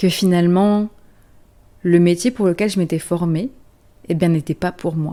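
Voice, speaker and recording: The voice has a dark, mellow tone, a fairly slow pace and fairly even intonation, on a very clean recording with a silent background. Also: woman. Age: late 20s. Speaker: therapist and energy coach. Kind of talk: podcast-style personal story. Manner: casual, conversational.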